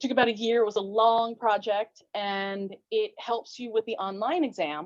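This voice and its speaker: A woman talks at a moderate pace and fairly high pitch. She has a plain, everyday voice with ordinary pitch variation. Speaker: fencing referee and instructor. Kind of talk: interview.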